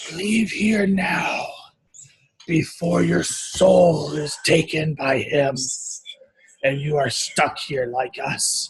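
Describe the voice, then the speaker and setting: A put-on character voice, raspy, gravelly and growling, at a middle pitch and a very slow pace, with long, frequent pauses. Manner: ominous, warning.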